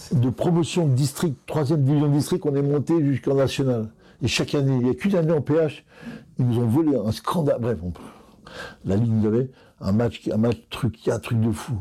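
A man's dark, mellow tone at medium pitch, with lively intonation and a moderate pace. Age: 60s. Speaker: football coach. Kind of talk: interview.

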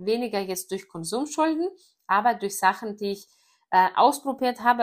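A woman with a Greek accent in a very clean recording with a silent background. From Greece. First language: Greek (speaking German). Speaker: network marketer. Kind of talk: personal story monologue. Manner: casual with many fillers.

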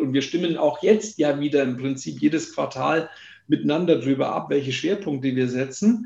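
Its intonation is lively. The voice has a somewhat breathy quality. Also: man. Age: 50s. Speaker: company founder. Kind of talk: interview.

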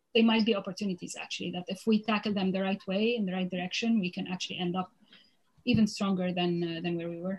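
A somewhat breathy woman's voice at medium pitch, flat and monotone, at a very fast pace. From Lebanon. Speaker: food entrepreneur. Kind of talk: interview.

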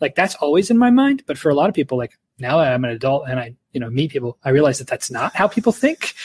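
A man's fairly high, somewhat breathy voice in a Midwestern American accent, very fast in pace with very wide pitch swings and a dry, close sound with no echo. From Ohio. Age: 40s. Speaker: left-wing podcast co-host. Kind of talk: casual interview.

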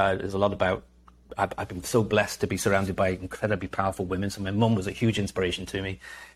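In a very clean recording with a silent background, a man speaks very fast at a fairly low pitch with monotone, flat intonation. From Liverpool, England. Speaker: entrepreneur and author. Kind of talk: casual interview.

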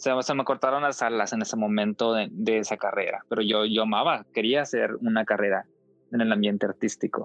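Music in the background and a man talking at a fairly quick pace. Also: medium pitch for a man, fairly even intonation, very even loudness. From Mexico, Coahuila. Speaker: former Jehovah's Witness. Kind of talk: testimony. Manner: halting.

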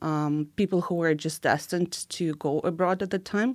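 Someone with a Ukrainian accent speaks in a very clean recording with a silent background. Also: woman. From Ukraine. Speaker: immigration and recruitment consultant. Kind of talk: interview. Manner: halting.

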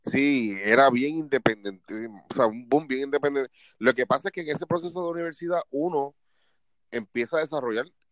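A man with a Puerto Rican accent talks at a fairly quick pace in an animated tone, recorded dry and close with no echo against a quiet background. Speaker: podcast co-host. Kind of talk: casual chat.

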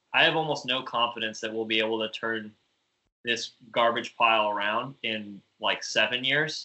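A man talks at a medium pitch and a moderate pace. He has a normal speaking voice with fairly even intonation. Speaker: podcast co-host. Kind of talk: casual banter among friends.

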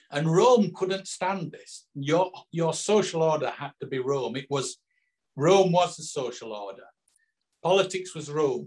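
With a Yorkshire accent, the speaker uses lively intonation. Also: man, fairly high pitch for a man. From northern England. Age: 60s. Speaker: author. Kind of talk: interview. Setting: video call.

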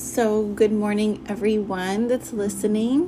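A woman's voice amid noticeable background noise. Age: 30s. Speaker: podcast host. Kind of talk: religious monologue. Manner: hesitant, many fillers.

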